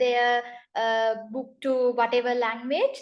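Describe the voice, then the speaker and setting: Speaking with a Tamil accent, a woman has a high pitch and a fairly slow pace. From northern Sri Lanka. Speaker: translator. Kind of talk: interview. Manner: halting, many fillers.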